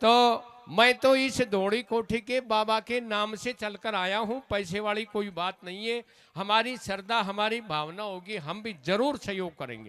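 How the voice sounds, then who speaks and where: A man's bright, sharp voice, high in pitch, with ordinary pitch variation. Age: 60s. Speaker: folk singer and religious speaker. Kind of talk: religious speech at a stage program.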